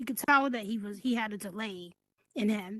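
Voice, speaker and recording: A woman with a New York accent at a moderate pace. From New York City (Brooklyn). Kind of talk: casual chat. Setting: virtual reality podcast. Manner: soft-spoken. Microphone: too quiet, low mic volume.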